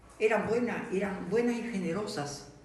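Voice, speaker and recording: A woman's voice is heard with audible room echo. Noticeable background noise is also present. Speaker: retired psychiatric nurse. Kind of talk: interview testimony.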